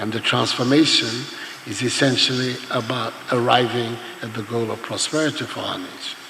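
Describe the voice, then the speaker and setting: With noticeable background noise behind him, a man speaks at a moderate pace and medium pitch, his loudness swinging widely. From Ghana. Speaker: head of state. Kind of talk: public speech at a forum.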